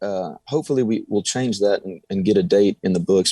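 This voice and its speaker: Speaking with a Texan accent at a fairly quick pace, the voice makes very wide pitch swings in a very clean, silent recording with a dry, close sound and no echo. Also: man. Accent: Texas country. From Texas, Del Rio. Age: young. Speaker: country singer. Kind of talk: radio interview.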